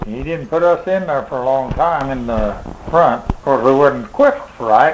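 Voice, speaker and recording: Amid noticeable background noise, a man with a Midwestern American accent talks at a moderate pace and a fairly high pitch with ordinary pitch variation. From Missouri. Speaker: war veteran. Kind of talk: interview answer.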